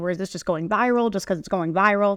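A woman talking at a very fast pace against a quiet background. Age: 20s. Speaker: sports content creator. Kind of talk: interview.

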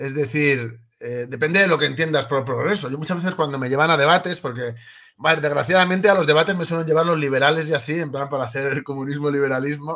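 A man with a Spanish accent talks at a very fast pace in a fairly high pitch. His tone is bright and sharp, with ordinary pitch variation. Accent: Peninsular Spanish. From Spain. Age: 30s. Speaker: political activist and writer. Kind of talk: interview.

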